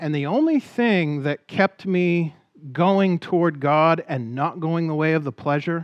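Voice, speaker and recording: A man's fairly high voice, a plain, everyday voice, at a fairly slow pace with ordinary pitch variation, with a dry, close sound and no echo against a quiet background. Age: 40s. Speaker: guest pastor. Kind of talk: sermon. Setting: church pulpit.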